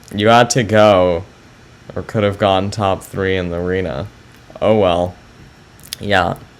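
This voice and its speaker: Long, frequent pauses break up a man's fairly slow speech, delivered in a very deep, low pitch with fairly even intonation. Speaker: chess streamer. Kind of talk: live stream chat with viewers. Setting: live stream. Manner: hesitant, many fillers.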